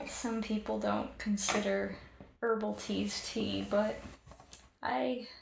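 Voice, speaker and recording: A woman is talking. She is soft-spoken. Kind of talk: ASMR personal attention role play.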